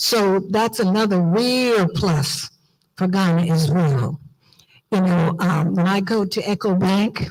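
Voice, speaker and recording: A woman of medium pitch speaks somewhat breathily with an American accent and ordinary pitch variation. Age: old. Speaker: diaspora organization leader. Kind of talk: conference speech. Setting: auditorium with audience. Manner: animated.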